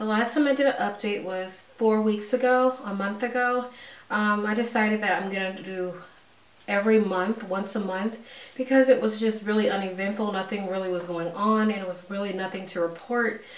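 A woman's voice with fairly even intonation at a moderate pace, in audible room echo. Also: medium pitch for a woman. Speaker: vlogger. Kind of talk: casual vlog update. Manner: hesitant, many fillers.

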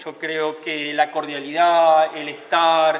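A man speaks at a very slow pace. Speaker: tourism worker or guide. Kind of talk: interview answer. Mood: calm, earnest. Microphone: handheld.

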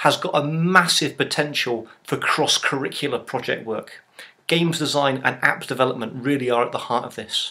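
At a moderate pace, the voice has a bright, sharp tone and ordinary pitch variation. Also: man. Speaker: online course presenter. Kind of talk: tutorial. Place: home room. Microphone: webcam.

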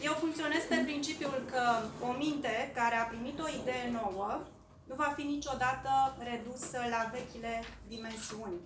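A woman speaks with a high pitch and ordinary pitch variation at a fairly slow pace. Noticeable background noise runs behind her. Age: 40s. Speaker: local election candidate, teacher; election candidate, teacher. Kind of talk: campaign speech. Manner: formal. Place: meeting room. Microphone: podium.

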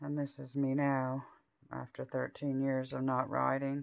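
Speaking fairly slowly, a woman uses an extremely low pitch with vocal fry and a flat, monotone delivery.

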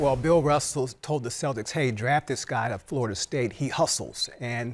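Moderate pacing from a man. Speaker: sports journalist host. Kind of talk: commentary. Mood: relaxed storytelling. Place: studio. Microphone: lapel.

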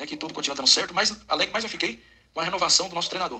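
Talking at a very fast pace, a man speaks in a high voice with ordinary pitch variation. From Porto Ferreira, São Paulo state, Brazil; São Paulo state, Brazil. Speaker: football fan sending voice message; football fan channel host. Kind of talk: voice message. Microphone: studio mic.

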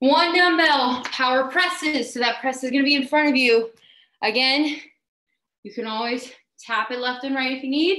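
Projecting her raised, high-pitched voice with an upbeat, bright and sharp tone, a woman is heard with audible room echo against a quiet background. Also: ordinary pitch variation, moderate pace. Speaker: fitness instructor. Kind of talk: live workout class leading. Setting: live video stream. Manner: brisk, upbeat, encouraging cueing with countdowns. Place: home room. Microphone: webcam.

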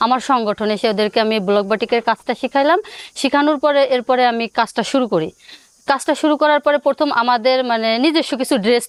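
Recorded dry and close with no echo, a woman speaks in a plain, everyday voice, fairly high in pitch, with ordinary pitch variation and very even loudness. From Bangladesh, Gopalganj district. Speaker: entrepreneur and craft trainer. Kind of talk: interview.

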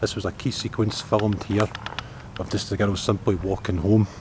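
A man speaks at a moderate pace with a fairly low pitch. There is noticeable background noise, and the sound is dry with no echo. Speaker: travel vlogger. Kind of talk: casual vlog chat. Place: street. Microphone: phone near.

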